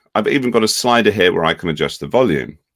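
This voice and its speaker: A man with a British accent speaks at a medium pitch, his voice swinging very widely in pitch and showing vocal fry. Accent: UK. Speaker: education technology executive. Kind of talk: software demonstration webinar.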